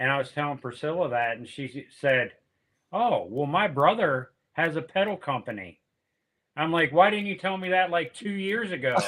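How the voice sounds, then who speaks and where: A man with an American accent and a fairly high pitch talks in an ordinary speaking voice at a moderate pace, his intonation lively. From Pennsylvania. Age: 60s. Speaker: music promoter and guitarist. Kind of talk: casual chat.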